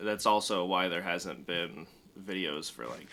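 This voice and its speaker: Noticeable background noise sits under a man whose very deep, low voice moves at a moderate pace. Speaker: gaming youtuber. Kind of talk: gameplay commentary.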